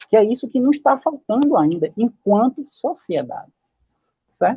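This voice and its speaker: A man speaks in a high voice with very wide pitch swings. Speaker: social scientist panelist. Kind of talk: panel debate talk.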